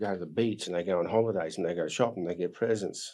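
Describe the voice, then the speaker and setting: Speaking very fast with an Australian accent, a man has a dark, mellow tone, fairly low pitch and ordinary pitch variation. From Australia, Queensland (Bundaberg). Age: 60s. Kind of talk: interview storytelling. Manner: animated.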